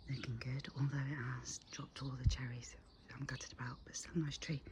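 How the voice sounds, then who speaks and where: Everything is whispered. The delivery moves fairly quickly. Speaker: gardening vlogger. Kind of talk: casual garden tour. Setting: outdoors in garden. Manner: whispering; animated.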